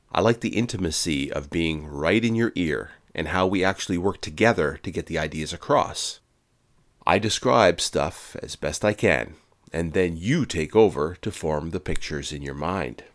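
A man with an American accent speaks at a moderate pace, his pitch very deep and low. His intonation is lively, and the recording is very clean with a silent background. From Quebec, Canada. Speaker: podcast host. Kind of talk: scripted narration.

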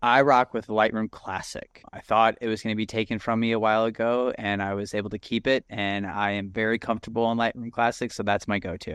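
A man talks at a fairly quick pace and medium pitch. His intonation is monotone and flat. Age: young. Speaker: golf photographer and podcast co-host. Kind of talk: casual chat.

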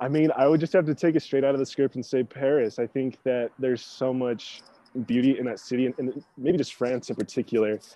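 A man with an ordinary speaking voice talks fairly quickly at a medium pitch with fairly even intonation. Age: 20s. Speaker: screenwriter. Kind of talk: interview.

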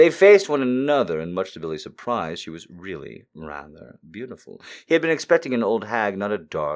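The voice simply reads aloud. Nothing more than plain reading aloud is heard.

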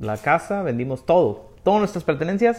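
At a moderate rate, a man speaks with pitch that swings very widely up and down. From Mexico, Durango city. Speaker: singer-songwriter. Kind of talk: casual chat.

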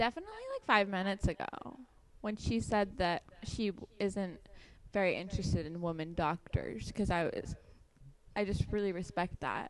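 A woman talks at a moderate pace in an unremarkable speaking voice, her pitch medium and its variation ordinary. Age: 20s. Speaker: comedy podcast host. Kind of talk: casual chat.

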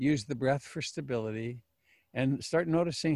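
With a plain, everyday voice, a man talks at a fairly quick pace and ordinary pitch variation. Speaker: meditation teacher. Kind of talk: dharma talk. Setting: video call.

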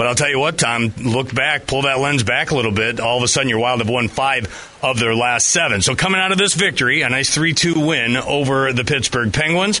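Speaking at a fairly quick pace with hardly any pauses, a man of medium pitch keeps his loudness very even and his pitch variation ordinary over noticeable background noise. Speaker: radio host. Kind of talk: live commentary.

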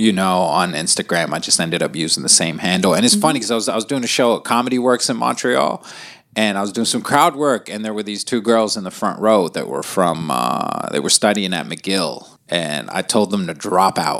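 Vocal fry runs through lively intonation. The pace is fairly quick, with hardly any pauses. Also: man, fairly low pitch for a man. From Lebanon. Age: 30s. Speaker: stand-up comedian. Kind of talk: casual chat.

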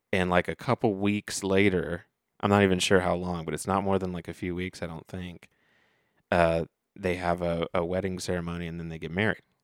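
A man's very deep, low voice in a Midwestern American accent, fairly quick and monotone with flat intonation, big swings in loudness, and a dry, close sound with no echo on a very clean recording with a silent background. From US Midwest, Dayton, Ohio. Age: 30s. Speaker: podcast co-host. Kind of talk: casual chat. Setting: studio.

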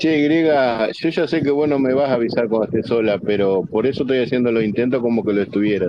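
A man's medium-pitched, very fast speech with hardly any pauses, very even loudness and ordinary pitch variation over noticeable background noise. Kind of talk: casual chat.

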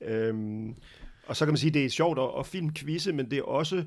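A man talks at a fairly quick pace with vocal fry and ordinary pitch variation. The recording is very clean, with a silent background. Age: 50s. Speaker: film critic and journalist. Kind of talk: casual chat.

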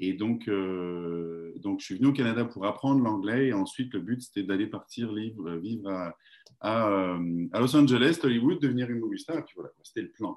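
A man with an unremarkable speaking voice talks at a moderate pace and medium pitch. His pitch variation is ordinary, while his loudness swings widely. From France. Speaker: network marketing entrepreneur. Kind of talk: casual interview.

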